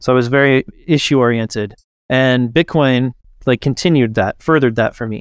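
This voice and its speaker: Here is a man with a normal speaking voice at medium pitch and ordinary pitch variation. The sound is dry and close, with no echo. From Kansas, US. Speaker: bitcoin company co-founder and podcaster. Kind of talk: casual interview chat.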